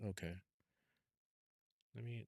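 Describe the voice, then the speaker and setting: Soft-spoken and fairly slow, a man talks with lively intonation in a dry, close sound with no echo. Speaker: gaming streamer. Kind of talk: live gameplay commentary. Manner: halting. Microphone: too quiet, adjusting mic levels.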